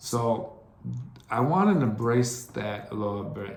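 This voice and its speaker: A man of medium pitch speaks at a fairly slow pace with audible room echo. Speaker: podcast host. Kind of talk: solo monologue podcast. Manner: halting.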